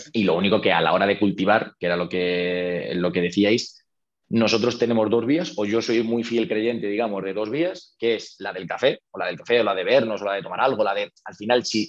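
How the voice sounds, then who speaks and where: This man has a plain, everyday voice, pitched fairly low. His pitch varies in an ordinary way over a quiet background. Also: fairly quick pace. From Spain, Toledo. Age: 30s. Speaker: real estate investor. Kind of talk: interview.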